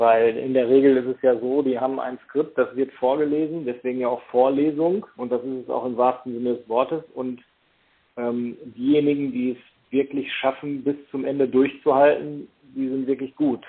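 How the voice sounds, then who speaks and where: A man at a moderate pace, medium in pitch, with monotone, flat intonation. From Germany, Paderborn area (East Westphalia). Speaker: hypnotherapist and lecturer. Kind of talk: interview. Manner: hesitant, many fillers.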